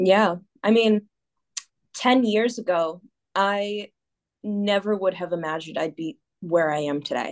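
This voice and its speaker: Pausing long and often, a woman with an American accent speaks fairly slowly at a medium pitch. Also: ordinary pitch variation. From US Northeast, Massachusetts. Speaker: singer and dancer, cruise ship performer. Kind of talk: casual interview.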